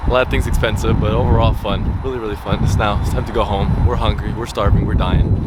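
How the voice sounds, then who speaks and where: A man talks at a very fast pace with hardly any pauses and a very deep, low pitch that swings very widely. Noticeable background noise and audible room echo are present. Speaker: YouTube vlogger. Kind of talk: casual vlog. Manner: animated.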